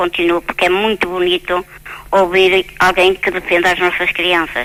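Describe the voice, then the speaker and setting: A woman of medium pitch speaks at a moderate pace in a flat monotone. Noticeable background noise runs behind her. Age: 60s. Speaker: radio caller. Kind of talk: phone-in call. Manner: halting, repetitive.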